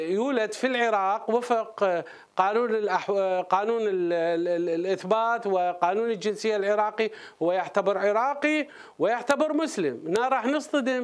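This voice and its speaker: In a quiet background, a man speaks at a fairly slow pace with a high pitch. His pitch variation is ordinary and his loudness very even. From Iraq. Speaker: legal expert; guest. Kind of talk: interview. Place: studio. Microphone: lapel.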